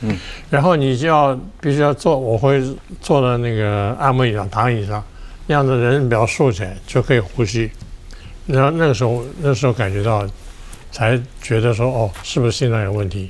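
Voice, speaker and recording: A man with a medium pitch and ordinary pitch variation speaks at a moderate pace, leaving long, frequent pauses. Noticeable background noise and audible room echo surround him. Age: 80s+. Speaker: retired media veteran and heart patient. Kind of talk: personal testimony in interview.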